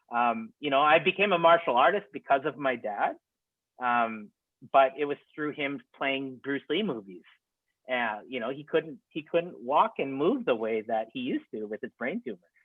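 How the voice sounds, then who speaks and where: A man in a Saskatchewan accent, fairly high in pitch, at a moderate pace with lively intonation. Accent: Regina, Saskatchewan (Canadian). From Regina, Saskatchewan, Canada. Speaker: documentary filmmaker. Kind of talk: webinar Q&A answer. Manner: hesitant, many fillers.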